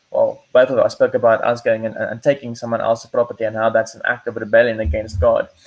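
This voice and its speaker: A man with a non-native accent at a very fast pace, with hardly any pauses. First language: not English. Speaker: podcast host. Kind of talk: casual discussion. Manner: halting, frequent repetitions.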